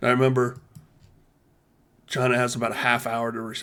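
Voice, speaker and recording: In a bright, sharp tone, a man speaks at a medium pitch with monotone, flat intonation. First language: not English. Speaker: YouTuber running war simulations. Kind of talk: casual commentary over simulation gameplay. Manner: casual, hesitant with fillers.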